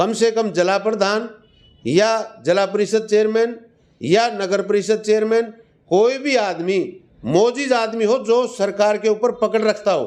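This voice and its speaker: His pitch sits high, and this man's voice rises and falls with ordinary variation. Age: 60s. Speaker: retired police inspector. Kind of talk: interview.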